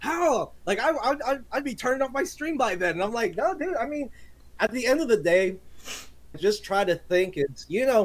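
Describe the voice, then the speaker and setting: Loud and energetic, a man speaks at a moderate pace with an extremely high pitch and very wide pitch swings. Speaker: gaming streamer. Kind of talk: casual podcast chat. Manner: loud, energetic.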